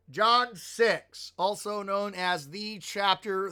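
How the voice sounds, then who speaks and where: Raising and projecting his voice, a man with an American accent speaks in a high pitch with a bright, sharp tone. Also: very clean recording, silent background. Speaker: pastor teaching bible study. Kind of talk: live-streamed bible study. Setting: live stream. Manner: animated.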